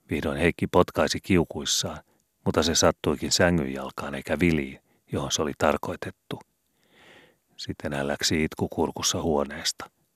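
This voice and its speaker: The speaker talks at a fairly slow pace with vocal fry, monotone, flat intonation, and long, frequent pauses. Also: man, very deep, low pitch for a man, very clean recording, silent background. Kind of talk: audiobook reading of a classic youth novel.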